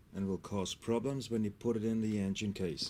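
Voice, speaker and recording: A man's dark, mellow tone in a German accent. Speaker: scooter mechanic. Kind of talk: tutorial.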